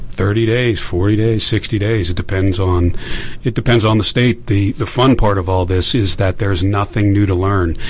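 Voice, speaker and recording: A man speaks in a normal speaking voice at a moderate pace, with very even loudness. His pitch is fairly low, with ordinary variation. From Pittsburgh, Pennsylvania. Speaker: veteran and election technology entrepreneur. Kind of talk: radio interview.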